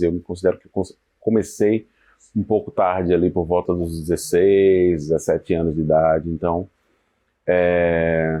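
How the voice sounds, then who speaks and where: His voice sits very deep and low. The man delivers every line in a flat monotone. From Sergipe, Brazil. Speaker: singer-songwriter. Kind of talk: interview answer. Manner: relaxed, hesitant.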